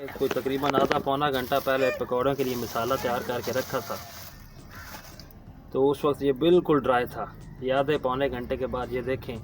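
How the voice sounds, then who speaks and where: Noticeable background noise sits behind the speaker. A man talks at a medium pitch with a Punjabi accent. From Punjab, Pakistan. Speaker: cooking channel host. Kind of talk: cooking tutorial.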